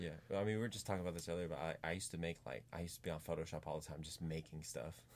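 With a very deep, low voice and vocal fry, a man with an American accent talks at a very fast pace, hardly pausing, his pitch varying in an ordinary way. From US, Pittsburgh, Pennsylvania. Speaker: musician. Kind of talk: casual chat. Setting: studio.

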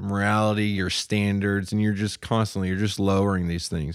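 A man speaks at a fairly low pitch in a monotone, flat intonation. The recording is very clean with a silent background. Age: 30s. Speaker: former mechanic in addiction recovery. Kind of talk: testimony.

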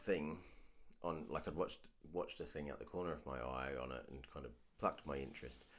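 A man talks at a fairly quick pace with vocal fry. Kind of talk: casual chat.

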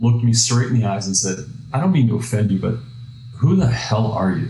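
Medium-pitched male speech with ordinary pitch variation, audible room echo and noticeable background noise. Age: 50s. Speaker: software company president, entrepreneur. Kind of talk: interview.

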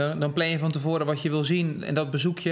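A man's voice, fairly high in pitch, comes through with noticeable background noise. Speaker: podcast host. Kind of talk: interview. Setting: in person.

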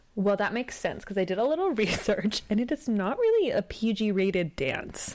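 A woman with an American accent and a plain, everyday voice speaks at a fairly quick pace with hardly any pauses, a fairly high pitch, lively intonation and very even loudness. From US Northeast (Westchester, New York). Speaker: podcast co-host. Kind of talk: casual chat.

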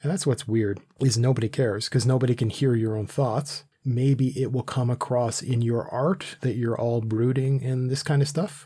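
At a moderate pace with hardly any pauses, a man speaks in a somewhat breathy, medium-pitched voice with a dark, mellow tone, in a very clean recording with a silent background. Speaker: podcast host. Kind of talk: casual banter, comedic intro. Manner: animated, joking.

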